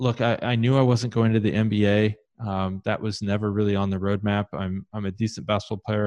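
In a Midwestern US accent, a man speaks at a fairly quick pace with a fairly low, monotone, flat delivery. The sound is dry and close with no echo, over a quiet background. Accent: US Midwest. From Ohio, Columbus. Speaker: conversion optimization consultant. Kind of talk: interview.

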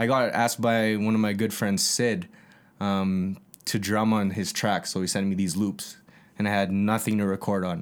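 In a Canadian accent, the speaker talks at a moderate pace with monotone, flat intonation and very even loudness. The recording is very clean, with a silent background. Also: man, fairly low pitch for a man. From Calgary, Canada (Northeast). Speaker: music producer and former youth addictions counselor. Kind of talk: casual chat.

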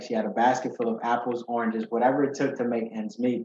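A man speaks in a plain, everyday voice at a medium pitch, with fairly even intonation. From Ghana, moved to Chicago at age eight. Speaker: accountant and financial literacy educator. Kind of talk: interview, personal story.

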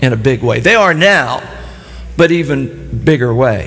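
Noticeable background noise and audible room echo surround the speech. The pace is fairly slow and the intonation lively. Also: man. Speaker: pastor. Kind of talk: sermon. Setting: church with live audience. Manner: animated.

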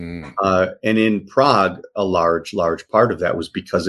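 This is an ordinary speaking voice with an American accent. It moves at a moderate pace. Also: man, quiet background. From US Midwest, south side of Chicago. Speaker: art dealer. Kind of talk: casual interview.

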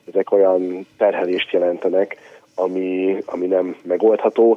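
A man speaks at a moderate pace and a fairly low pitch, with monotone, flat intonation. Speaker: mayor's chief of staff. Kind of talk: radio interview.

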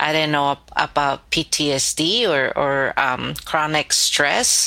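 With a Spanish accent, a woman speaks in a very deep, low pitch and a monotone, flat intonation over noticeable background noise. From Mexico, state of Guerrero; raised in Los Angeles from age nine. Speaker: novelist. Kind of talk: interview.

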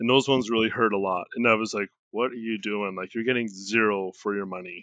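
Against a quiet background, a man with a Canadian accent speaks in a fairly low pitch and a flat monotone, his tone bright and sharp and the sound dry and close with no echo. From Canada. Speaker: crypto investor, blogger. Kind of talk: interview.

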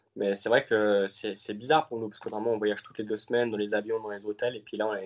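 A man speaks with a fairly low-pitched voice. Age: 20s. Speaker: racing driver. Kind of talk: interview.

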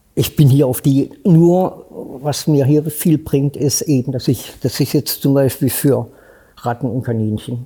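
Somewhat breathy, a man talks at a moderate pace with fairly even intonation. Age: 70s. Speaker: homeless man. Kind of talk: interview.

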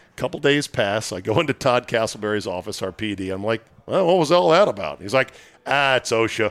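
A man's plain, everyday voice at medium pitch, fairly quick, with lively intonation, on a very clean recording with a silent background and a dry, close sound with no echo. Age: 60s. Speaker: podcast host. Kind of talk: casual chat. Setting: restaurant.

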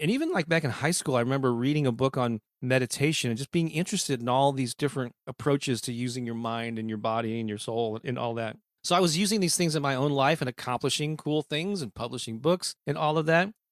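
Speaking very fast with hardly any pauses, a man with a Midwestern American accent keeps a medium pitch and ordinary pitch variation, heard dry and close with no echo in a very clean recording over a silent background. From US Midwest, St. Louis, Missouri. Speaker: author and music marketing coach. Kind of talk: interview conversation.

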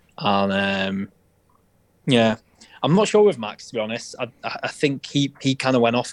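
At a moderate pace, a man's medium-pitched, unremarkable speaking voice carries ordinary pitch variation. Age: 30s. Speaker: musician in a band. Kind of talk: casual interview.

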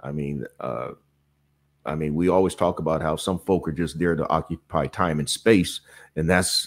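At a moderate pace, a man talks in a very deep, low pitch with ordinary pitch variation. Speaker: gig worker and content creator. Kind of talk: casual chat. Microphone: good microphone.

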